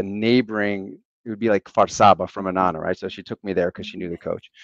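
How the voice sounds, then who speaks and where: A man speaks with a Western Pennsylvania accent. The sound is dry and close with no echo, against a quiet background. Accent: Western Pennsylvania American. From Western Pennsylvania, near Pittsburgh. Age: 40s. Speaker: national team football coach. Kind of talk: podcast interview.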